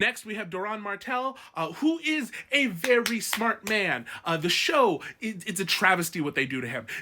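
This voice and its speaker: Noticeable background noise accompanies a voice whose pitch swings very widely. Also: man. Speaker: book commentary youtuber. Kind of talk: casual ranking commentary. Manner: fast; animated.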